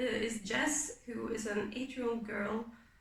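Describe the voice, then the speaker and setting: A woman's fairly high voice at a fairly slow pace, fairly even in intonation, with audible room echo. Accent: non-native. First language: not English. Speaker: booktuber, reading vlogger. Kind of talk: casual vlog book talk. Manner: casual with frequent fillers.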